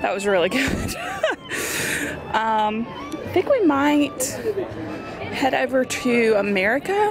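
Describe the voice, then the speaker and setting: Clear music sits behind a woman who speaks at a very slow pace in a dry sound with no echo. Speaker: travel vlogger. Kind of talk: casual vlog chat. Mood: enthusiastic about food. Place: street. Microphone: phone near.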